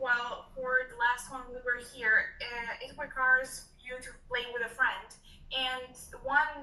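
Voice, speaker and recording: A woman with a high voice projects it in a raised, monotone, flat delivery, with audible room echo. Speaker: student. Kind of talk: casual chat. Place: office. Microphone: webcam.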